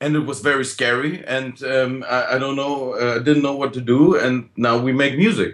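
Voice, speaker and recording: A man with a German accent talks at a moderate pace, with hardly any pauses. His pitch is fairly high and his intonation fairly even. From Germany. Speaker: blues band musician. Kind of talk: interview. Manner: halting.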